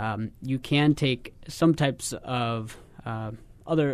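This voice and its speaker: A man speaks in an ordinary speaking voice at medium pitch. His intonation is fairly even. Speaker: wound care physician. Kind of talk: radio health interview. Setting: studio.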